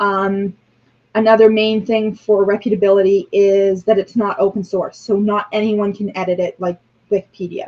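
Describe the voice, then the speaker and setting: Monotone and flat in intonation, a woman speaks at a fairly slow pace with a medium pitch. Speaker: religious class teacher. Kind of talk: online class lecture. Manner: frequent filler ums.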